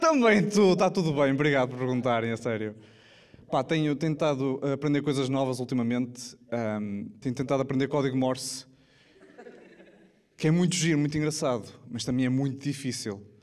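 Pausing long and often, a man speaks at a moderate pace with ordinary pitch variation. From Portugal. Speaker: stand-up comedian. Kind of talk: stand-up comedy to a live audience. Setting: live theatre with audience. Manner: casual, jokey, conversational. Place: stage. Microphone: handheld.

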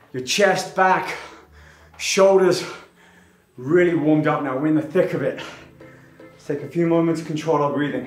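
A man at a moderate pace with long, frequent pauses and fairly even intonation, with audible room echo and faint music in the background. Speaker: fitness instructor. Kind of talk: workout instruction.

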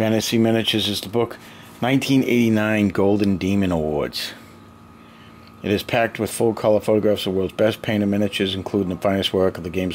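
Very fast speech from a man with a fairly low pitch and fairly even intonation, over light background noise. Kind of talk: casual vlog chat. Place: home room. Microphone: phone near.

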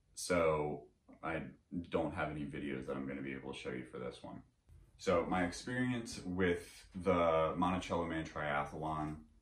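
A man's very deep, low voice, with ordinary pitch variation, carries audible room echo. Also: moderate pace. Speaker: triathlete vlogger. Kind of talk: casual vlog. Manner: relaxed, conversational. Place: home room.

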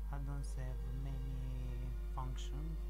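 Loud background noise surrounds a man as he talks. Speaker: software tutorial maker. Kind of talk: screen tutorial narration.

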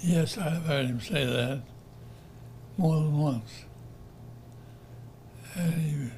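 Amid noticeable background noise, a man with a fairly high voice speaks at a very slow pace, with long, frequent pauses and ordinary pitch variation. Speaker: retired college professor, alumnus. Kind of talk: oral history interview answer.

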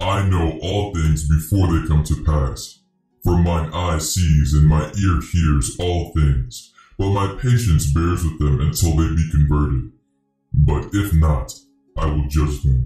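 A put-on character voice, calm and solemn in tone, fairly slow in pace, with slight echo. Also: man, very deep, low pitch for a man. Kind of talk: dramatized scripture reading. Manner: calm, solemn, authoritative.

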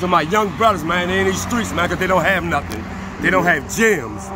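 A man with a high pitch and ordinary pitch variation speaks at a fairly quick pace, with noticeable background noise behind him. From New Orleans. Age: 50s. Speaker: local resident, construction worker. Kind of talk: street interview. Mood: earnest, passionate. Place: street. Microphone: phone near.

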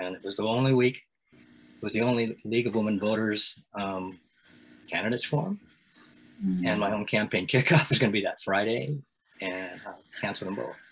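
Speaking fairly quickly with an American accent, a man with a fairly low voice uses ordinary pitch variation, taking long, frequent pauses over light background noise. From Eastern Washington, US. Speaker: city council member. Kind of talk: casual interview conversation. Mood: friendly, smiling. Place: home room. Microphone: video call.

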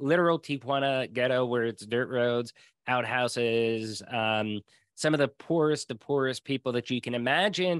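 In a normal speaking voice, a man with an American accent talks at a moderate pace and medium pitch with ordinary pitch variation, against a quiet background with a dry sound and no echo. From rural Pennsylvania, US. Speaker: sales director and podcast host; podcast guest. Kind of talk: casual interview. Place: home room. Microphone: video call.

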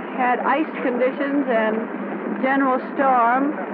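Fairly slow speech against loud background noise. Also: woman. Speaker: aviator. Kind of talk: newsreel interview answer. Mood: calm, pleasant. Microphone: old recording.

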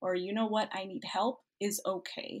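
Speaking with an American accent, a woman talks at a moderate pace in a somewhat breathy voice with fairly even intonation. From Cuba, raised in the US. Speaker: medical student. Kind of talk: interview.

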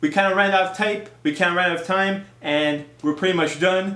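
A man talks at a fairly quick pace with high pitch and a bright, sharp tone. His intonation stays fairly even, and room echo is audible.

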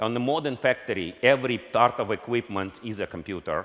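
A man speaks with a Russian accent against a quiet background. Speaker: company founder and CEO. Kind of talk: conference keynote speech. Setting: stage with audience. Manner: halting. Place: stage. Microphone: headset.

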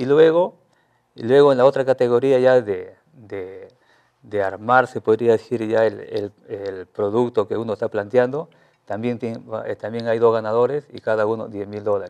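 A man at a moderate pace, with ordinary pitch variation, big swings in loudness and a quiet background. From Peru, La Libertad (Trujillo area); La Libertad, Peru. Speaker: teacher and innovation researcher; teacher. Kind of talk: TV news interview. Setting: TV studio. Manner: halting, many fillers and repetitions. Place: studio. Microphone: lapel.

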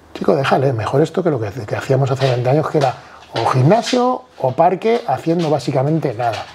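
This man's pitch sits fairly high and his intonation is lively. He talks at a fairly quick pace over noticeable background noise. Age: 40s. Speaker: bodybuilder; podcast guest. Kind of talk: casual chat. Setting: at home, on a sofa. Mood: casual, animated. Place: home room. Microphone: lapel.

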